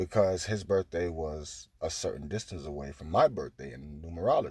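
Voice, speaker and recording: On a very clean recording with a silent background, a man with a dark, mellow tone and a somewhat breathy voice speaks at a moderate pace with ordinary pitch variation. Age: 20s. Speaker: spiritual podcaster. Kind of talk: spiritual monologue.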